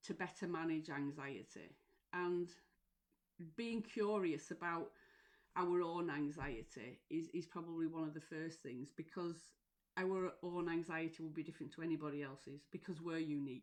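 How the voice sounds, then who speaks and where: With a Lancashire accent, a woman speaks using ordinary pitch variation. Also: fairly low pitch for a woman, moderate pace. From northern England, Lancashire. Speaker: mental health support coach. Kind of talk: live stream talk. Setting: live stream. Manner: hesitant, many fillers.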